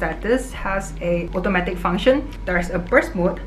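There is light background noise as a woman speaks at a moderate pace. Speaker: vlogger. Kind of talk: sponsored product review. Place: home room.

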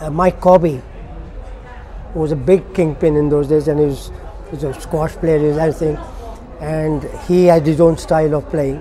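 A fairly high-pitched man speaks in a flat monotone at a moderate pace, with long, frequent pauses. Noticeable background noise is present. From Kenya. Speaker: former international hockey player. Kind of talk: oral history interview answer.

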